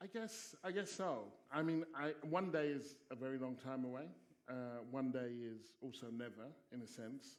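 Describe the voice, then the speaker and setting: In a southern English accent, a man talks at a medium pitch. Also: ordinary pitch variation, moderate pace. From England, Stevenage (Hertfordshire). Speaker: sociology professor and broadcaster. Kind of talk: panel discussion Q&A.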